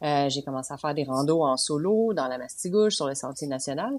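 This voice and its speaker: Someone with a Quebec accent speaks at a fairly quick pace with lively intonation. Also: woman. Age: 30s. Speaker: podcast co-host, long-distance hiker. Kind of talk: casual chat.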